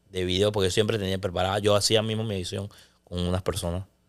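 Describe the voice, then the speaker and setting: Against a quiet background, a man speaks in a fairly low pitch with monotone, flat intonation. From Panama. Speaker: sports broadcaster; podcast guest. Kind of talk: casual chat. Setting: studio. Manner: loud; intense. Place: studio. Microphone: studio mic.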